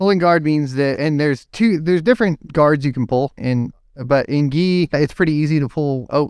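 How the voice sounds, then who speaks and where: Recorded very cleanly with a silent background and a dry, close sound with no echo, a man with an unremarkable speaking voice talks at a moderate pace with ordinary pitch variation. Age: 30s. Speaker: IT systems administrator and jiu-jitsu competitor. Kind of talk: casual interview chat.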